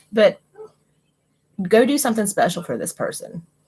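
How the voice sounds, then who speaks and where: With a West Virginia accent, a woman speaks at a moderate pace using lively intonation. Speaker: tarot card reader and livestreamer. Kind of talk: live stream card reading. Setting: live stream with chat. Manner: casual, conversational.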